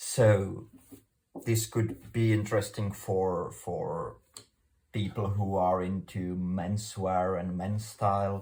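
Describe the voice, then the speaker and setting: Very slowly and in a flat monotone, a man speaks with a fairly low pitch and a dark, mellow tone that is somewhat breathy. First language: Czech. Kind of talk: tutorial. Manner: halting.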